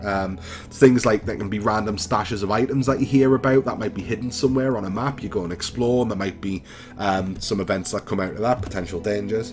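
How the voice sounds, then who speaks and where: Talking at a very fast pace in a Geordie accent, a man with a fairly low voice shows ordinary pitch variation against noticeable background noise. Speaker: gaming YouTuber. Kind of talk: casual chat; let's play commentary. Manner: hesitant, many fillers.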